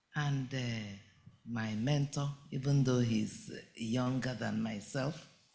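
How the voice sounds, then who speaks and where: A man's medium-pitched voice at a very slow pace, with audible room echo. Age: 70s. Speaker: entrepreneur, bag maker. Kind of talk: conference speech.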